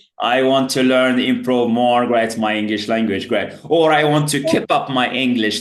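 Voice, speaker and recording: A man speaks at medium pitch with very even loudness and hardly any pauses. Noticeable background noise and audible room echo fill the recording. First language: Berber (Tamazight). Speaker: English teacher. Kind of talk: online tutoring lesson. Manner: filler-heavy, repeats "great" often.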